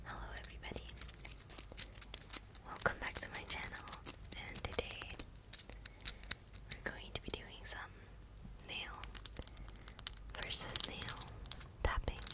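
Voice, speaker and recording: Taking long, frequent pauses, a woman speaks at a fairly slow pace. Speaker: ASMR creator. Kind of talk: ASMR whisper ramble. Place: home room. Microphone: studio mic.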